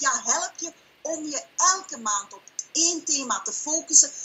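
Over light background noise, someone with a Flemish accent speaks at a fairly slow pace with very wide pitch swings. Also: woman. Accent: Flemish Dutch. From Belgium (Flanders). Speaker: online business owner and coach. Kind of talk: sales pitch and interview answers. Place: home room. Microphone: webcam.

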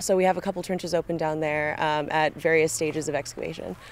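A woman with an American accent at a very fast pace, the sound dry with no echo. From California, USA. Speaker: student archaeologist. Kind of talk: casual interview. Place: open country.

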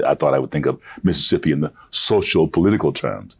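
Vocal fry in a man's very deep, low voice, moving at a fairly quick pace. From Mississippi, raised in Michigan. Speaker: actor. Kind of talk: interview answer. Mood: reflective, personal. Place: studio. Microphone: lapel.

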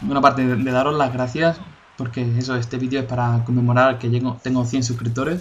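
Over noticeable background noise, a man with a medium-pitched voice talks at a fairly quick pace with fairly even intonation. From Spain, Cádiz (Andalusia). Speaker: gaming youtuber. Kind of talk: gameplay commentary. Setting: home recording. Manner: halting, repeats words.

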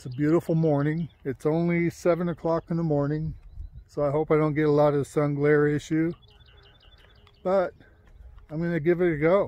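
Speaking at a moderate pace with monotone, flat intonation, a man leaves long, frequent pauses in a dry sound with no echo. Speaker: hobby drone vlogger. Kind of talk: casual vlog chat. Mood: relaxed, hopeful. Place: open country. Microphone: phone near.

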